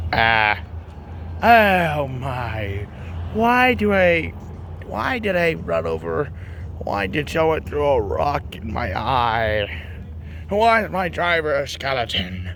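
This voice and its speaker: A man speaks very slowly in a put-on character voice at a medium pitch, leaving long, frequent pauses. Background noise is clearly heard. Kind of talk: playful improvised kid voices. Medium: solo performance.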